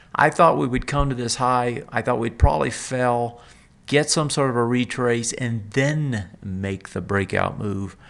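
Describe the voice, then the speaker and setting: Pacing himself fairly slowly, a man speaks at a medium pitch. His pitch varies in an ordinary way. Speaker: market analyst, trading show host. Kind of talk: daily market commentary. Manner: halting, many fillers; casual, conversational.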